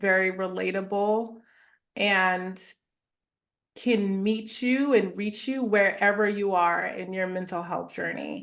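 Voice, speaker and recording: A woman speaks at a very slow pace and medium pitch with fairly even intonation. Audible room echo is present. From Southern California (Chino Hills). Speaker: therapist and wellness entrepreneur. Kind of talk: interview conversation.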